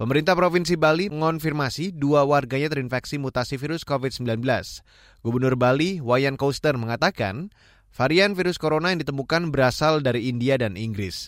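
An unremarkable speaking voice from a man, fairly high in pitch, with ordinary pitch variation, a fairly quick pace, and a very clean recording over a silent background. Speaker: radio news anchor. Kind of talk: formal newsreading, broadcast news bulletin with crisp, even, authoritative delivery. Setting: radio studio broadcast. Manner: formal; measured and steady.

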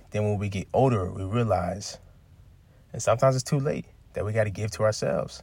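A man speaks at a fairly quick pace with fairly low pitch, ordinary pitch variation and a somewhat breathy quality. His long, frequent pauses stand out in a very clean recording with a silent background. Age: 20s. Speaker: podcast host. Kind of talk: motivational monologue. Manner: casual, conversational.

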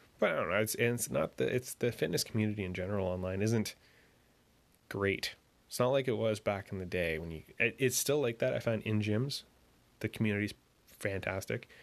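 A man's fairly low voice at a fairly quick pace, with long, frequent pauses, ordinary pitch variation and a quiet background. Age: 20s. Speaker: solo podcast host. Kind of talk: casual solo monologue. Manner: conversational with frequent fillers.

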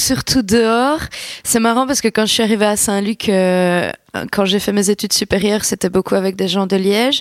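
A woman with an unremarkable speaking voice talks at medium pitch and a moderate pace, with fairly even intonation. Her loudness stays very even, and the sound is dry and close with no echo. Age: 20s. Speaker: singer. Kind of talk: interview.

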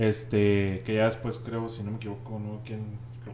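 Speech moves at a moderate pace. Noticeable background noise is present. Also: man. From Monterrey, northern Mexico. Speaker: podcast host. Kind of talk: casual chat. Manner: casual, slangy, filler-heavy.

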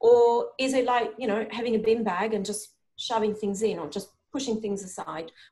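A woman with a fairly high pitch and a dark, mellow, somewhat breathy tone speaks at a moderate pace. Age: 40s. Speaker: performance and wellbeing coach. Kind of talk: interview conversation.

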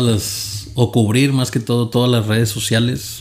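A man's medium-pitched voice moves fairly slowly and with fairly even intonation, while noticeable background noise is present. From Monterrey, Nuevo León, Mexico. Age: 20s. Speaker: podcast co-host. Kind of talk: casual chat.

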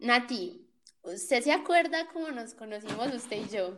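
At a fairly slow pace, a woman with a high pitch and an animated tone uses lively intonation, with big swings in loudness. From Colombia, Cali area (Jamundí, Valle del Cauca). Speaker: podcast host. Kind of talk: casual chat.

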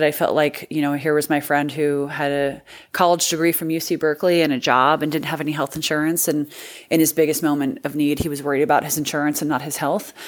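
Someone with a Californian accent talks at a fairly quick pace. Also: woman. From rural Northern California. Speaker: political candidate. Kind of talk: interview.

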